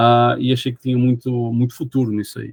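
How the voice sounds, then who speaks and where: A man's medium-pitched voice with a Portuguese accent. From Portugal, Porto. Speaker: geotechnical engineer. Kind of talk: podcast interview. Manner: hesitant with fillers.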